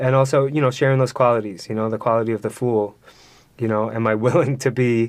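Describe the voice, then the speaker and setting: With an American accent, a man talks at a very fast pace. His pitch is medium and his intonation fairly even. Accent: New York, comes out sometimes. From New York City, Queens. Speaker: podcast guest. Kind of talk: casual chat. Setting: studio.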